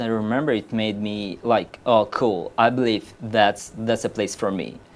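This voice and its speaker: This man has a Russian accent and speaks at a fairly slow pace. The recording is very clean, with a silent background. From Uzbekistan. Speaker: game company artist. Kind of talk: casual chat. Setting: live stream. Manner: halting.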